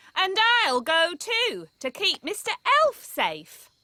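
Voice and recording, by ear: A female-sounding cartoonish character voice is pitched extremely high. It moves at a fairly slow pace.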